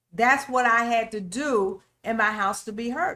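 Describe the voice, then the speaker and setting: A woman speaks loudly at a high pitch with a bright, sharp tone and ordinary pitch variation. Her pace is fairly slow, in a very clean recording with a silent background. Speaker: relationship talk show host. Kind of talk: faith-based relationship teaching.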